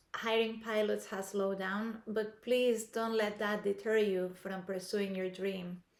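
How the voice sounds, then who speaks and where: The speaker has a non-native accent and talks at a fairly slow pace. The intonation stays fairly even. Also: woman. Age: 50s. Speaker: aspiring airline pilot, vlogger. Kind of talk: scripted talk to camera. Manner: hesitant with fillers.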